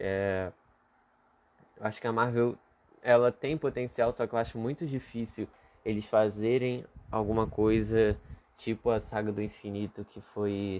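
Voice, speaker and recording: The speech moves at a fairly slow pace with long, frequent pauses. Its intonation stays fairly even. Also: man, medium pitch for a man. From Brazil, Rio de Janeiro. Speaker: podcast host. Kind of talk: solo casual monologue. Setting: home bedroom. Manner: halting, many fillers and repeats.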